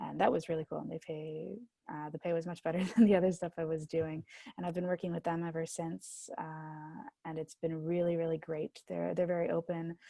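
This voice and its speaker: Dry and close with no echo, a woman speaks in a dark, mellow tone at a fairly low pitch. Her pace is fairly quick and her intonation fairly even. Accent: American. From upstate New York. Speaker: higher education manager. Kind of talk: interview.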